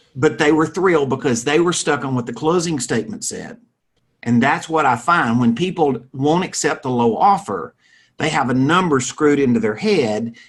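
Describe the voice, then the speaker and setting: A man's fairly high voice with a Southern US accent and lively intonation. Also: moderate pace. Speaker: real estate financing expert. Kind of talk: interview.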